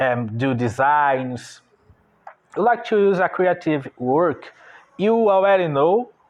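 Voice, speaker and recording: A man's fairly high voice with a Brazilian Portuguese accent, lively intonation and a very slow pace. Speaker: online business owner and artist. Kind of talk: unscripted monologue. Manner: halting.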